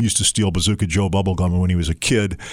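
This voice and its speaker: An ordinary speaking voice: a man with an American accent, fairly low in pitch, at a fairly quick pace. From Detroit, Michigan. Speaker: novelist. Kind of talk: interview.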